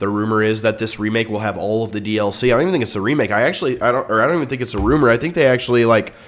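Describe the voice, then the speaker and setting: A man's medium-pitched voice at a very fast pace with hardly any pauses. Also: ordinary pitch variation. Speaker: gaming YouTuber. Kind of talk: casual commentary. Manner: animated; stuttering at times.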